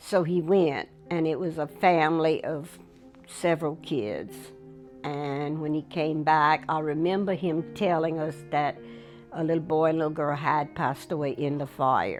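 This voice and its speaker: A woman's very deep, low voice at a fairly slow pace, with fairly even intonation and music in the background. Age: 80s+. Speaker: elder sharing life story. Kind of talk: interview.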